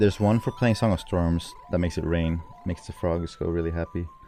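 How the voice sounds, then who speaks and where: Music plays behind a man speaking with a Swedish accent. He talks at a fairly quick pace in a fairly low voice. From Sweden. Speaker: speedrunner streamer. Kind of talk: live commentary. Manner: casual.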